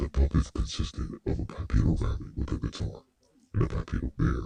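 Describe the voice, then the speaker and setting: A man's put-on character voice at a moderate pace. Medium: audio drama. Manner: polite, precise.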